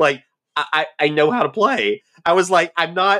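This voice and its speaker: With a Southern US accent, a man speaks at a moderate pace in a bright, sharp tone. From US South. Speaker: podcast co-host. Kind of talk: casual chat.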